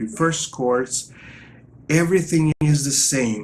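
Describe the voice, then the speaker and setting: A man speaks with a non-native accent and a fairly high pitch. His pitch varies in an ordinary way. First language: not English. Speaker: guitar teacher. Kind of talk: tutorial.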